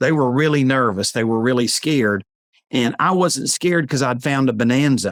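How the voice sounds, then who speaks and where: At a moderate pace, a man with an unremarkable speaking voice talks at a medium pitch, with very even loudness and ordinary pitch variation. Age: 60s. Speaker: real estate note investor. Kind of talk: interview.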